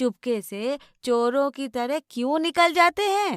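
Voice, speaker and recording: A woman puts on a rumbling character voice and speaks at a fairly slow pace. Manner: grumbling, scolding.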